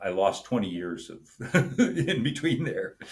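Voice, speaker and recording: This man has an American accent. He talks at a fairly slow pace. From US Mid-Atlantic (Wilmington, Delaware). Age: 60s. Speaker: army reserve officer and entrepreneur. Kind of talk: interview, casual conversation. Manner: halting, many fillers.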